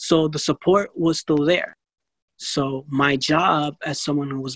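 A man's normal speaking voice, fairly high in pitch, with fairly even intonation and a dry, close sound free of echo. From New York City. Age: 20s. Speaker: blindness advocate. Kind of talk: interview.

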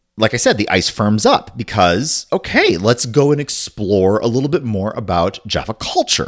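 At a fairly slow pace, a man with an ordinary speaking voice talks with lively intonation. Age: 40s. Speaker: podcast co-host. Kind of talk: casual chat.

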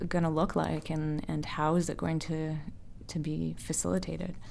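A woman with a Canadian accent speaks at a moderate pace. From Windsor, Ontario, Canada. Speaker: artist and educator. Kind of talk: casual chat.

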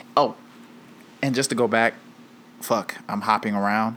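A man's voice at medium pitch. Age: 20s. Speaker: podcast host. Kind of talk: solo monologue.

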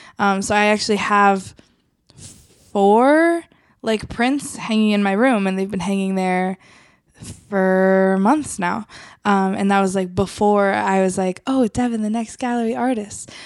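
Over a silent background in a very clean recording, a woman talks fairly slowly in a normal speaking voice. Her pitch sits at a medium level and varies in an ordinary way. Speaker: ministry staff member.

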